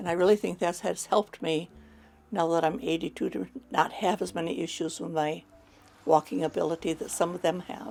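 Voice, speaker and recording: Music plays in the background as a woman talks at a fairly quick pace. Her pitch is fairly low, with ordinary variation. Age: 80s+. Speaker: documentary interviewee. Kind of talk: interview.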